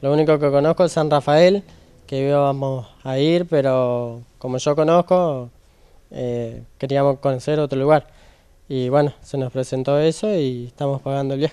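This man speaks at a moderate pace with a fairly high pitch, a dark, mellow tone and fairly even intonation over a quiet background. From Argentina. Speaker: bingo prize winner. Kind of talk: interview. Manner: halting, many fillers. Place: hall. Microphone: handheld.

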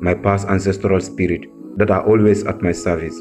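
Music plays in the background. The speaker, with a West African accent, moves at a fairly slow pace with lively intonation. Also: man. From Gambia. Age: 20s. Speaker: spoken word poet. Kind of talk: spoken word poetry performance.

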